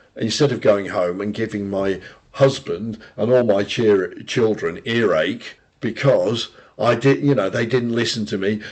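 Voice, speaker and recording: With a British accent, a man talks at a fairly slow pace and ordinary pitch variation. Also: medium pitch for a man. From Britain. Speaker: podcast co-host. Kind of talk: casual chat.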